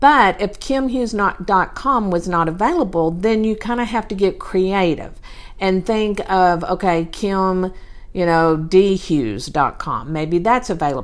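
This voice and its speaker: A woman in a Southern US accent, medium in pitch, at a fairly slow pace with lively intonation, on a very clean recording with a silent background. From Texas. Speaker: podcast host, real estate business coach. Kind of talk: solo podcast talk. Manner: casual, with many fillers.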